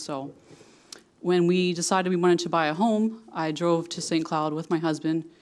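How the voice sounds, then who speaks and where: At a fairly quick pace, a woman with a Philadelphia accent speaks in a fairly low pitch with fairly even intonation. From Philadelphia, US. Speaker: city council candidate. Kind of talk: candidate forum opening statement. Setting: city hall chambers with audience.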